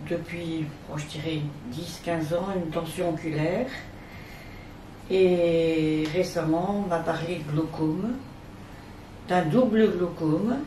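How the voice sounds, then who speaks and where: A woman with a fairly low pitch and ordinary pitch variation speaks at a very slow pace, with long, frequent pauses and audible room echo. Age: 60s. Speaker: retired teacher with visual impairment. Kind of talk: testimony. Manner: hesitant, many fillers.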